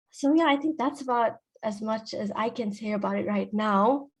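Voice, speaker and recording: A woman talks at a fairly high pitch, somewhat breathy, with ordinary pitch variation. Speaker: pharmacist. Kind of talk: career talk at online panel. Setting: online video event. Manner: fast.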